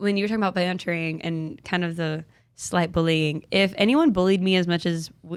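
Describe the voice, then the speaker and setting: In a very clean recording with a silent background, a woman with a normal speaking voice talks at a moderate pace and medium pitch with ordinary pitch variation. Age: 20s. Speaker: podcast host. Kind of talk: casual chat.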